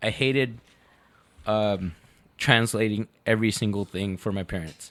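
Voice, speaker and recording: Here a man talks with a slight Mexican accent. His pitch is fairly low. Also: fairly even intonation, moderate pace. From Mexico, Guadalajara. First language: Spanish. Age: 30s. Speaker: podcast guest. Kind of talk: casual chat. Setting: studio.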